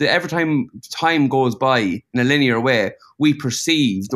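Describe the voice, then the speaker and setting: A man speaks with an Irish accent at a moderate pace, his pitch medium and his intonation lively. The recording is very clean, with a silent background. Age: 30s. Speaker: painter. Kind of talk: casual chat.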